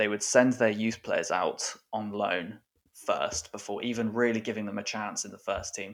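A man in an English accent talks at a moderate pace. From England. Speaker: football writer and author. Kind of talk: casual interview chat.

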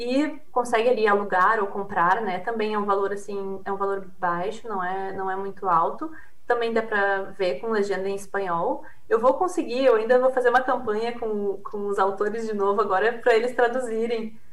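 Someone speaks at a moderate pace with a southern Brazilian accent and ordinary pitch variation. Noticeable background noise and audible room echo surround the voice. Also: woman, fairly high pitch for a woman. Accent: southern Brazilian (gaúcho). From Brazil, Rio Grande do Sul. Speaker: PhD researcher on consumer behaviour. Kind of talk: interview.

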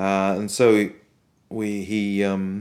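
This man has a very deep, low voice. He speaks with a Welsh accent. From Wales. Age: 50s. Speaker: composer. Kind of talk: interview.

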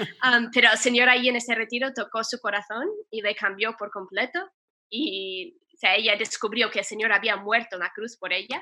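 Bright and sharp in tone, a woman talks at a moderate pace with ordinary pitch variation. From US, Ohio. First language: English (speaking Spanish). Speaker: nun. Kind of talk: interview testimony.

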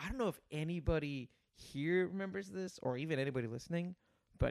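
A normal speaking voice carries lively intonation. The sound is dry and close, with no echo. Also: man. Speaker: esports marketer. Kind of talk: casual chat.

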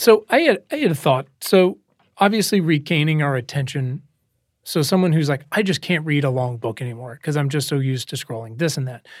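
In a very clean recording with a silent background, a man with an unremarkable speaking voice talks at a fairly quick pace in a fairly high pitch with lively intonation. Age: 30s. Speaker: podcast host. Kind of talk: interview. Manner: casual, profane.

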